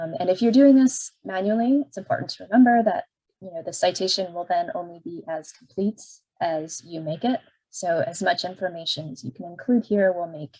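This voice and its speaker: A woman's somewhat breathy, dark, mellow tone carries lively intonation. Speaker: librarian. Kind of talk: tutorial.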